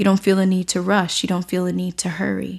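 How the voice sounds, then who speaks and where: A woman talks at medium pitch and a moderate pace in a normal speaking voice. The recording is very clean, with a silent background. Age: 30s. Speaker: meditation teacher and podcast host. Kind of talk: spiritual talk monologue. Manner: calm.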